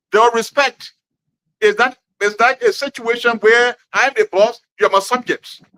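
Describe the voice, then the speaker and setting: A man projects a raised voice at an extremely high pitch with a bright, sharp tone. He keeps a moderate pace and ordinary pitch variation, and the sound is dry and close with no echo. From Liberia, Grand Gedeh County. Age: 60s. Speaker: community elder. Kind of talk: interview. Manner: halting.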